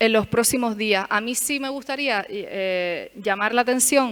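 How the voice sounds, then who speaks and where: Her voice sits high, and its pitch rises and falls in an ordinary way. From Canary Islands, Tenerife. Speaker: lecturer. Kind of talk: lecture. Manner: hesitant, many fillers.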